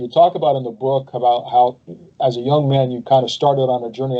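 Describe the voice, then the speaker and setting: This man's plain, everyday voice moves fairly quickly with fairly even intonation. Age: 60s. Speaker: pastor and podcast host. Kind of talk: interview.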